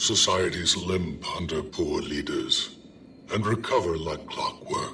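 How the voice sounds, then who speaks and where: Fairly slow speech in a put-on character voice, clear background noise audible behind it. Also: man. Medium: video game. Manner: dry, reserved.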